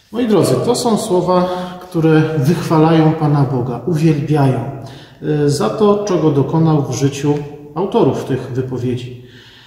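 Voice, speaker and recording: The man talks at a moderate speed. Some room echo is audible around his words. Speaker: pastor. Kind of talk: sermon. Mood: calm, reflective. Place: church. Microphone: phone near.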